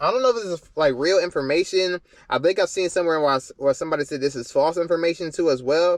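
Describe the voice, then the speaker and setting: A man talks very fast in a high voice, the sound dry and close with no echo. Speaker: car YouTuber reacting to videos. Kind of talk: reaction video commentary. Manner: casual, filler-heavy.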